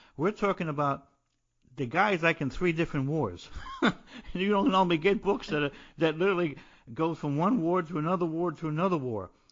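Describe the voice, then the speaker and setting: Speaking with a New Jersey accent, a man with a high pitch and ordinary pitch variation talks at a fairly quick pace with long, frequent pauses. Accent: New Jersey American. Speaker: podcast host, poet and playwright, military veteran. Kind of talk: interview podcast. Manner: halting, repetitive.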